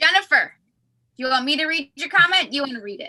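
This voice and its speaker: A raised, projected voice with lively intonation and a bright, sharp tone. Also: woman. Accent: American. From US Midwest. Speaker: show host. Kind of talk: casual chat.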